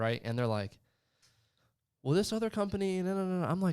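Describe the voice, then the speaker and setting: On a very clean recording with a silent background, a man with a slight Southern US accent lets his pitch swing very widely. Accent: slight country twang, southern. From Florida panhandle, US South. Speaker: insurance sales executive. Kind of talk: livestream interview. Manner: casual, many fillers.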